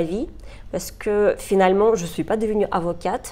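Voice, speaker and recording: In a Russian accent, the speaker talks at a moderate pace with a dark, mellow tone. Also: woman. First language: Russian (speaking French). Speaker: human rights lawyer. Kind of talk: interview. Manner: hesitant, with frequent fillers.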